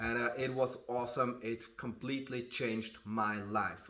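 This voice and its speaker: The man's intonation stays monotone and flat at a medium pitch, his pace moderate. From Switzerland. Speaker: martial artist. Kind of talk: casual talk to camera.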